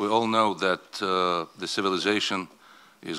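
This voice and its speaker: In a non-native accent, a man speaks at a very slow pace with a fairly low pitch, fairly even intonation and a bright, sharp tone. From Azerbaijan. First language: not English. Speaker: oil company executive. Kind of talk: conference speech.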